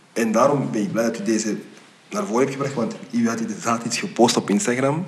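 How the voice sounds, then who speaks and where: Over noticeable background noise and audible room echo, a man talks fairly quickly at a medium pitch with lively intonation. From Belgium. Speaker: podcast host. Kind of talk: casual interview. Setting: studio.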